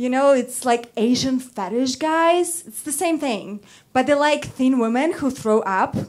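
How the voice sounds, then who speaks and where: With a Russian accent and lively intonation, a woman with a high pitch speaks at a very slow pace. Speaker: model and first-time stand-up comedian. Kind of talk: stand-up. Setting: stage with audience. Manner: halting.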